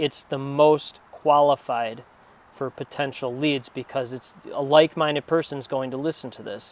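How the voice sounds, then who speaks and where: A man's fairly high-pitched voice with an American accent. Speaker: PR firm founder, former journalist. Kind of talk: podcast interview. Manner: fast.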